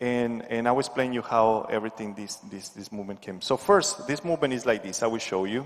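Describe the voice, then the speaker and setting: Medium-pitched male voice with a Spanish accent. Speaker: dance instructor. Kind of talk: tutorial. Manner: halting.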